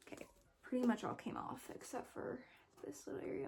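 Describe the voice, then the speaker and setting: A woman's voice with noticeable background noise. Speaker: book YouTuber. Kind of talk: casual book haul video.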